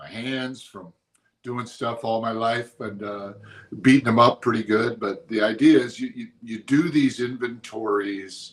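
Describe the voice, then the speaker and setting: An unremarkable speaking voice from a man at medium pitch, fairly even in intonation, fairly slow, with big swings in loudness. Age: 60s. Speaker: motivational speaker and pastor. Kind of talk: motivational talk. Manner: casual, conversational with fillers.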